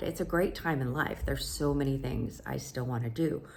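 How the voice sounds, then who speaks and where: A woman is speaking. Her pace is moderate. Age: 60s. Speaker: vlogger, unemployed recruiter. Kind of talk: personal vlog. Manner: casual, with fillers.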